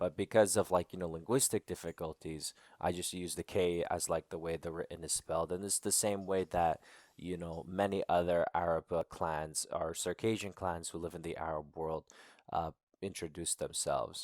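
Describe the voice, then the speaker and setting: A man with an American accent and a very deep, low pitch at a moderate pace, with monotone, flat intonation, in a dry, close sound with no echo on a very clean recording with a silent background. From United States. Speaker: activist and podcaster. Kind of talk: interview.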